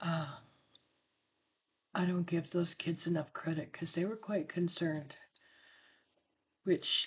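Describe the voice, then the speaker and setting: Soft-spoken and somewhat breathy, a woman talks at a fairly slow pace with a fairly low pitch and ordinary pitch variation. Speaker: scrapbook crafter and tutor. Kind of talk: craft tutorial chat.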